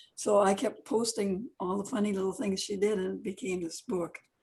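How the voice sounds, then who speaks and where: A woman's somewhat breathy, medium-pitched voice with a dark, mellow tone. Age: 80s+. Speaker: children's book author. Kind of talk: casual live-stream chat. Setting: Facebook live video stream.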